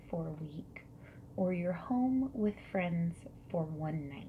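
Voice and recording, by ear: A woman speaks at a slow pace with lively intonation.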